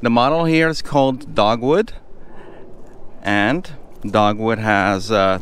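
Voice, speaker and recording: A man speaks at a very slow pace. The sound is dry with no echo. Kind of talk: home tour commentary. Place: street. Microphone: phone near.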